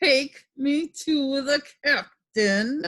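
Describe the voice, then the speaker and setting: A woman puts on a strained, high-pitched character voice. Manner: menacing, commanding.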